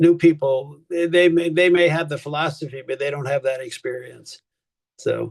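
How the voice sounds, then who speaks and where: At a fairly high pitch, a man speaks in a somewhat breathy voice. His pace is moderate and his intonation fairly even. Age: 70s. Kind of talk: casual chat; lecture.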